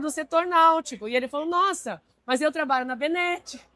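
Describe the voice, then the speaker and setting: Raised and projected, the voice has a bright, sharp tone and lively intonation. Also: woman. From Brazil. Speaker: marine industry executive. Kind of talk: interview. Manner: hesitant, with fillers.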